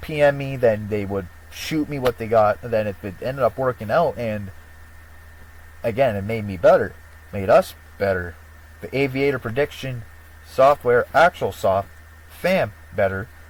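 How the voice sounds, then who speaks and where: Lively intonation at a moderate pace, broken by long, frequent pauses. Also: man, medium pitch for a man. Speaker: YouTuber promoting prediction software. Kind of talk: casual vlog monologue. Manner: halting, rambling delivery.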